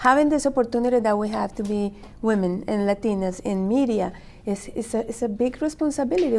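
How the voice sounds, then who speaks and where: A woman with a Spanish accent, fairly high-pitched, at a fairly quick pace. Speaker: media executive. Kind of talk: panel discussion. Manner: halting.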